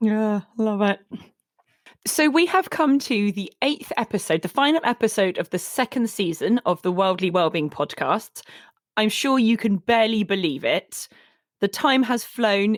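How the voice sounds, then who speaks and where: In an unremarkable speaking voice, a woman with a fairly high pitch talks at a moderate pace with lively intonation, and the sound is dry and close with no echo on a very clean recording with a silent background. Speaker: podcast host. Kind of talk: casual chat.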